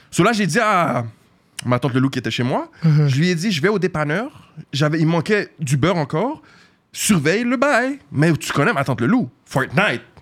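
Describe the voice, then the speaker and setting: A man speaks at a moderate pace with a fairly high pitch. His voice moves through very wide pitch swings. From Montreal, Quebec (Saint-Michel). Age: 20s. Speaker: social media influencer. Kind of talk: casual interview.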